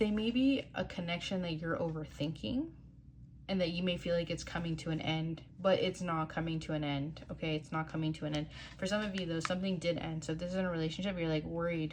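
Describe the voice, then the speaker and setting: A woman speaks at a very fast pace with ordinary pitch variation and a somewhat breathy sound. Audible room echo surrounds her voice. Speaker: tarot card reader. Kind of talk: tarot reading. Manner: casual, filler-heavy.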